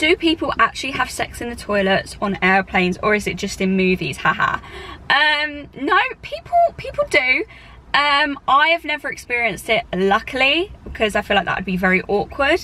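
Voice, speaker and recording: A woman with a British accent raises and projects her high-pitched voice. Her pitch swings very widely while her pace stays moderate. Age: 20s. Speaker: flight attendant and vlogger. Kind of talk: casual Q&A vlog. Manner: casual with many fillers.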